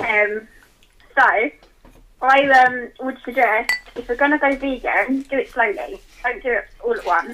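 A woman speaks in a raised, projected voice at a high pitch with lively intonation. Her pace is fairly slow, broken by long, frequent pauses. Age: 20s. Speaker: book club member, caller. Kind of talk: casual chat. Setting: phone call.

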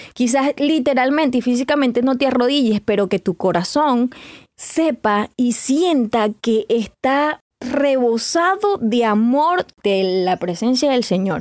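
A woman talks at a very slow pace with a high pitch and lively intonation. The sound is dry and close with no echo, and her loudness stays very even. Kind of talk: devotional podcast talk.

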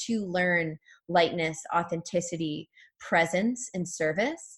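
Intonation stays fairly even in a somewhat breathy voice. Nothing is heard behind it on this very clean recording. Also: woman. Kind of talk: guided meditation, then channeled Akashic reading.

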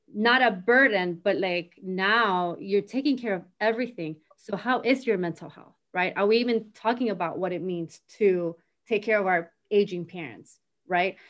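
Someone with a Latin American accent speaks at a fairly slow pace with ordinary pitch variation. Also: woman, medium pitch for a woman. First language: Spanish. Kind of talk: casual chat. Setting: recorded video conversation. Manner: animated.

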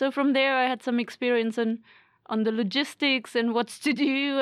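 Speaking at a moderate pace with a German accent, a woman uses a fairly high pitch and fairly even intonation. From Germany. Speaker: PhD student and course instructor. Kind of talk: casual chat.

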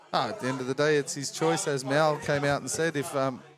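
This man has an Australian accent and a medium pitch. He talks at a fairly quick pace with fairly even intonation. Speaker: rugby league podcast co-host. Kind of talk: casual chat.

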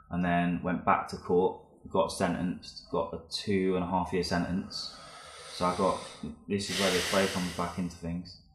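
In a London accent, a man speaks at a moderate pace with a very deep, low pitch and monotone, flat intonation, with audible room echo. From West London. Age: 20s. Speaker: graffiti artist and photographer. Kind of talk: casual chat. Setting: studio.

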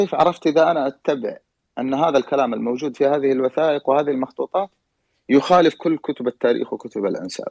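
Dry and close with no echo, an unremarkable speaking voice moves at a fairly quick pace with ordinary pitch variation. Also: man, fairly high pitch for a man. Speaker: historian and genealogist. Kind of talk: panel discussion. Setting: online audio room.

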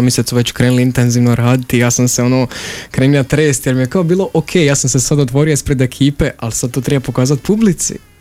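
Speaking at a very fast pace over noticeable background noise, a man keeps a medium pitch and fairly even intonation. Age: young (18). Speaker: theatre directing student, youth drama studio member. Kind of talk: radio interview.

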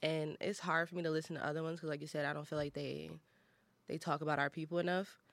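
A woman speaks at a very fast pace with an American accent. Her pitch is very deep and low, and her intonation is monotone and flat. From Detroit. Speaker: college radio podcast host. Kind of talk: casual chat. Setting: studio.

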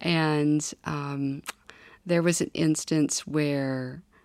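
In a Midwestern US accent, a woman speaks very slowly in a very deep, low pitch with monotone, flat intonation, recorded very cleanly against a silent background. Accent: US Midwest. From Kansas. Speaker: former government staffer, church member. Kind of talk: interview testimony.

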